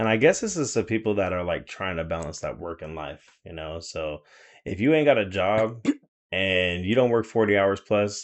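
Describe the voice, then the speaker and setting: A man speaks loudly at a fairly low pitch. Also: lively intonation, moderate pace. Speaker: podcast co-host; teacher. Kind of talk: casual chat.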